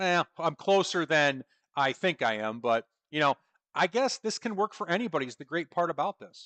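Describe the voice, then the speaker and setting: With an American accent, a man talks in a bright, sharp tone and lively intonation, his dry, close sound free of echo against a quiet background. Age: 40s. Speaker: trading educator. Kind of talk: webinar presentation. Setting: online webinar. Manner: casual, conversational.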